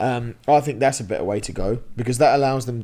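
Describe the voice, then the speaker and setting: In a very clean recording with a silent background, a man speaks in a medium pitch with an English accent. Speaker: podcast host. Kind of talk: casual chat. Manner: loud; animated.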